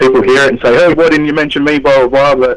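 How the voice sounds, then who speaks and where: Over noticeable background noise, a man talks at a fairly high pitch. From Australia, southwest Sydney. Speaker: underground rapper. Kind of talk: radio interview.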